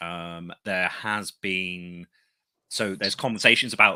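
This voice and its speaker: A man with a Somerset accent, very deep and low in pitch with a bright, sharp tone and fairly even intonation at a fairly slow pace, in a very clean, dry, close recording with no echo and a silent background. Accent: Somerset accent, noticeable. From Somerset, England. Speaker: podcast host, tarantula keeper. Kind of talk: casual chat. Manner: clear; hesitant, many fillers.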